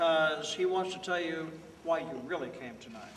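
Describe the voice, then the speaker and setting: A man speaks with a high pitch. Audible room echo and noticeable background noise are present. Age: 60s. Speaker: high school drama teacher. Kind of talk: speech to audience.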